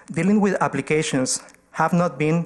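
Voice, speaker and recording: A man at a moderate pace, with a non-native accent and fairly even intonation. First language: not English. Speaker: community organization presenter to council. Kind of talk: formal presentation at council meeting.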